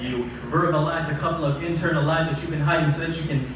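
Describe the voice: A man's fairly high voice at a fast pace with fairly even intonation, over clear background noise.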